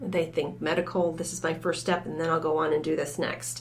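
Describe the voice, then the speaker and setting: With an American accent, a woman talks in a flat, monotone way, with audible room echo and noticeable background noise. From Michigan, US. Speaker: college academic advising director. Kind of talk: podcast interview.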